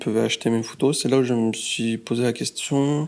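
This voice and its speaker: In a monotone, flat delivery, a man speaks at a medium pitch. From France, Lyon. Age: 20s. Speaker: street photographer and graphic designer. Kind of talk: casual interview.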